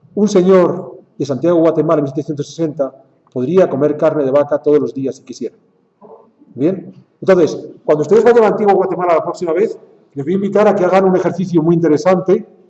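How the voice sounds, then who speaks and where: At a very fast pace, a man with a Spanish accent speaks at a high pitch, with big swings in loudness and ordinary pitch variation. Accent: Spanish (Spain). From Spain. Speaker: lecturer. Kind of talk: lecture.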